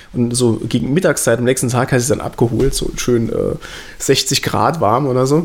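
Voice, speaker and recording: A man talks at a moderate pace with a medium pitch and ordinary pitch variation. Noticeable background noise runs under his voice. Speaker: podcast co-host. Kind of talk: casual chat. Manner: repeats words, halting.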